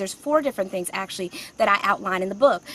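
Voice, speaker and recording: There is noticeable background noise behind this woman. Her pitch varies in an ordinary way. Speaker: career coach and author. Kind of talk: live stream talk. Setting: outdoors. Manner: fast.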